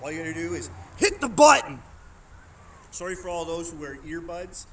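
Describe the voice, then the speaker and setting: A man speaks loudly at a moderate pace, with audible room echo. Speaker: knife throwing streamer; military member. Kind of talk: live stream wrap-up. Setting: outdoors.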